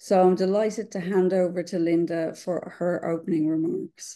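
A woman speaks at a moderate pace with a fairly low pitch and a dark, mellow tone. Her intonation is monotone and flat, and the background is quiet. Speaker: webinar moderator. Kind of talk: webinar introduction. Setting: video call. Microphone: webcam.

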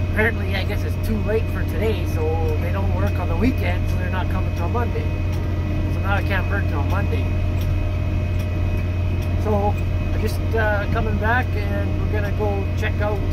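A man with long, frequent pauses amid loud background noise. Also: moderate pace. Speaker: farmer vlogger. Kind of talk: casual vlog chat. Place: farm machine. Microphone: phone near.

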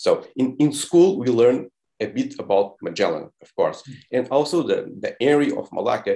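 Against a quiet background, a man with a Portuguese accent speaks with big swings in loudness. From Portugal. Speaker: documentary filmmaker; panelist. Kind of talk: panel discussion. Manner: halting. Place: home room. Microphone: earbuds.

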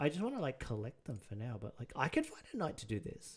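A somewhat breathy man at a fairly quick pace, with very wide pitch swings over a quiet background. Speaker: streamer. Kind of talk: live stream reaction commentary. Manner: rambling, easily derailed. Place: home room. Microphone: headset.

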